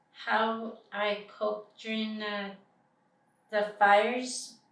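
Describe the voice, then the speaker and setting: A woman talks over noticeable background noise. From British Columbia, Canada. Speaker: First Nations community member. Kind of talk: interview answer.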